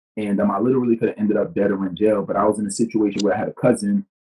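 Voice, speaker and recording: A man's very fast speech in a strong New York accent, dark, mellow tone, dry and close with no echo. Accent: New York accent, heavy. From New York, the Bronx. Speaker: business coach and speaker. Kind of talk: podcast interview. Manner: casual, many fillers.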